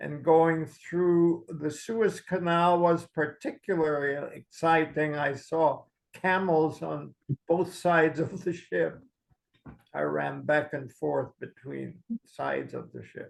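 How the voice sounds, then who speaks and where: In a German accent, a man talks at a very slow pace. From Philippines (Manila), born in Germany. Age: 90s. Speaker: Holocaust survivor. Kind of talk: interview talkback.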